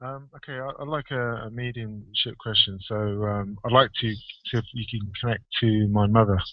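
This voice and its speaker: A man with an American accent, medium in pitch and moderate in pace, with fairly even intonation and big swings in loudness. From outside the United States. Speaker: radio caller. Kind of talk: phone-in conversation. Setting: Skype call. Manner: hesitant.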